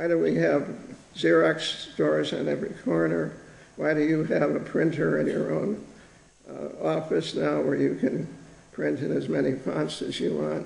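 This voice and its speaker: Moderate-paced speech from a man with an American accent, plus audible room echo. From United States. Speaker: professor. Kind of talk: keynote lecture. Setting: conference stage with audience.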